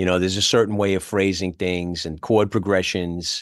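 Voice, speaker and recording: In a New York accent, a man speaks at a moderate pace and a fairly low pitch against a quiet background. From New York (the Bronx). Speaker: musician. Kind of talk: casual chat. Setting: video call.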